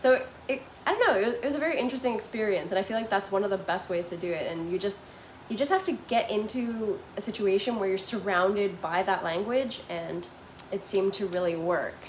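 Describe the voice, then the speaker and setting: A woman speaks at a fairly quick pace and medium pitch, with ordinary pitch variation. Background noise is noticeable. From Canada, Toronto. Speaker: vlogger living abroad. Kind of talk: live stream chat with viewers. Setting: live stream at home. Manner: casual, filler-heavy.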